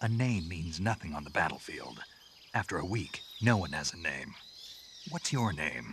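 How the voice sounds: A man puts on a character voice with extremely low pitch and a fairly bright tone. His pitch swings widely at a moderate pace.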